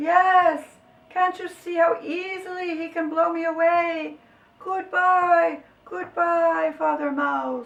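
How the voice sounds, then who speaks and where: A put-on character voice comes out squeaky and extremely high in pitch. It moves at a fairly slow pace. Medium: read story.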